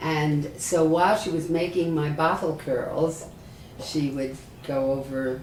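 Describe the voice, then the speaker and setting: In an American accent, a woman with a very deep, low pitch and ordinary pitch variation speaks over noticeable background noise and audible room echo. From New York City. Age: 80s+. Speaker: rabbi. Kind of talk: oral history interview.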